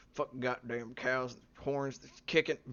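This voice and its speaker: A man mumbles in a put-on character voice at a medium pitch. The sound is rumbling. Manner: mumbled, grumbling.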